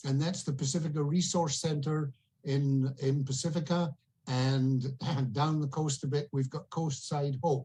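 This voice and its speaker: A man's somewhat breathy, dark, mellow voice at a fairly high pitch with a Scottish accent, in a monotone, flat intonation at a fairly slow pace. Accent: Scottish, still noticeable. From Scotland. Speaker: auction guest, local community member. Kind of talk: casual chat.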